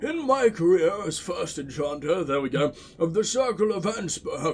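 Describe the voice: Using a put-on character voice, a man speaks high-pitched at a moderate pace.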